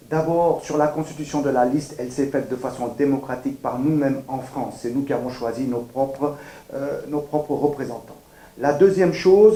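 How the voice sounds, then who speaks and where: A man speaks with a plain, everyday voice at a fairly high pitch. His pace is moderate and his pitch variation ordinary. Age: 60s. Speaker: political candidate. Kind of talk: campaign statement. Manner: formal.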